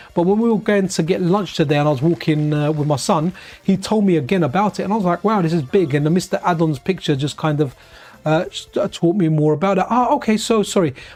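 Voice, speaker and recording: A man with an English accent speaks at a high pitch. His pace is very fast. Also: ordinary pitch variation. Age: 40s. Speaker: retro gaming streamer. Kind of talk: casual live stream chat. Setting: live stream. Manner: rambling, self-correcting.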